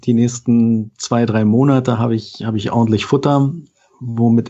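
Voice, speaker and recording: Somewhat breathy, a man speaks at a moderate pace. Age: 40s. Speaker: IT worker and columnist. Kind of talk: casual chat. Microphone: good-sounding microphone.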